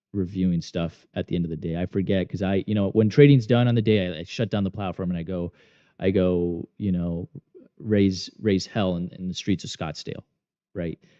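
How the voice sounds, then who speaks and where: A man's very deep, low voice with ordinary pitch variation at a moderate pace. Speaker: day trader and trading course instructor. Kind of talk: live trading stream commentary. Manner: loud; casual, rambling with repetitions.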